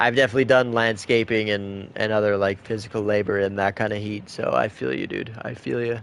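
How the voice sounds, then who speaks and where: With a fairly low pitch and ordinary pitch variation, a man talks at a fairly quick pace, hardly pausing at all. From Canada. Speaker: video game streamer. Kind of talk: casual chat. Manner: casual.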